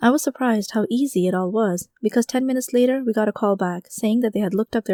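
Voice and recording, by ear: This is someone reading aloud in a natural voice. The pitch variation is ordinary.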